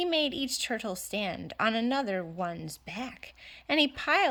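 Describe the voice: The speaker is doing plain reading aloud. Intonation rises and falls in a lively way.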